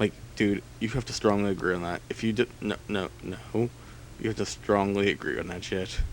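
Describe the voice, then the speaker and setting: Fairly low-pitched male speech with vocal fry, ordinary pitch variation and a moderate pace. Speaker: let's play gamer. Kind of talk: gameplay commentary. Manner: casual, filler-heavy. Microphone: laptop recording.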